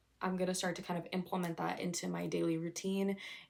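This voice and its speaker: A woman's voice at medium pitch. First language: not English. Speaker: vlogger. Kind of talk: casual vlog talk to camera. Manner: casual, chatty.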